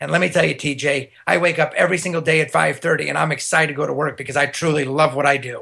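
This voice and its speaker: A man with vocal fry and a fairly high pitch talks at a very fast pace. His tone is bright and sharp, and he hardly pauses at all. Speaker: business founder. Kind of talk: interview. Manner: energetic.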